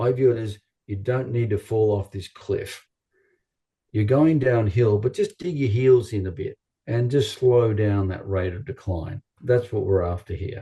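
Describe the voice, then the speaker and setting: A man with an Australian accent speaks at a fairly slow pace in a medium-pitched, somewhat breathy voice with a dark, mellow tone. His pitch varies in an ordinary way, and the background is quiet. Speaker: chiropractor. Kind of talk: interview.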